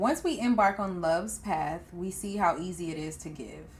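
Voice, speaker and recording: A woman's somewhat breathy voice at a moderate pace, with ordinary pitch variation. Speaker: podcast host. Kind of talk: book excerpt reading.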